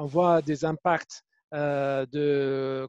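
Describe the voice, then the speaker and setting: In a dry, close sound with no echo, a man with an Arabic accent talks in a fairly high pitch with monotone, flat intonation. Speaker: webinar moderator. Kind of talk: panel moderation.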